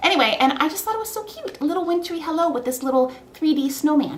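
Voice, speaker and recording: An animated woman's voice, with audible room echo and noticeable background noise. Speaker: scrapbooking crafter. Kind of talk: craft tutorial. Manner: fast.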